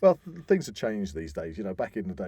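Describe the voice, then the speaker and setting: A man speaks with an English accent in a dark, mellow tone. The recording is very clean and the background silent. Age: 50s. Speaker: podcast host. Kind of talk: casual chat. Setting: studio.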